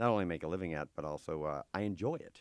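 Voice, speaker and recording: A man's very deep, low voice with an American accent at a fairly quick pace, on a very clean recording with a silent background and a dry, close sound with no echo. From US, Massachusetts near Boston. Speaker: comedian. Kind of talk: casual interview.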